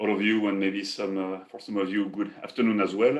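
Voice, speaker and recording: This man has a French accent. He talks at a moderate speed. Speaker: paper company executive. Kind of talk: webinar presentation. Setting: online webinar.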